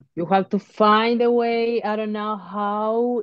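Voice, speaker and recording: A woman with a Spanish accent. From Uruguay. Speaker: professional boxer. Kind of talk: interview. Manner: halting.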